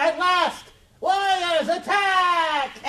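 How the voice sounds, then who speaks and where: This man puts on a character voice. He pitches it extremely high. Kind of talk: comic overacting. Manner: bombastic war cries.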